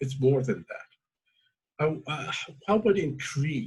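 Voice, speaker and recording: A man talks fairly slowly, his intonation lively and his voice somewhat breathy. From Azerbaijan. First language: Azeri. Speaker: talk show host. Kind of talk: interview. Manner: halting.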